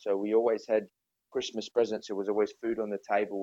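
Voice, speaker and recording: A man with an Australian accent speaks at a moderate pace, his fairly low voice carrying a dark, mellow tone. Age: 30s. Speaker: podcast guest. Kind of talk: casual chat. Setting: video call.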